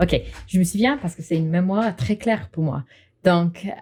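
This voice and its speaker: With an English accent, a woman speaks at a fairly low pitch with ordinary pitch variation and a dark, mellow tone. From England. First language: English (speaking French). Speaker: English teacher, marketing worker. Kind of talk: casual interview.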